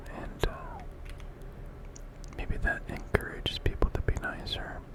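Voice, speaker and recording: A man whispering at a fairly slow pace amid noticeable background noise. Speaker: ASMR creator. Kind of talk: ASMR gameplay commentary. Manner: whispered, soft.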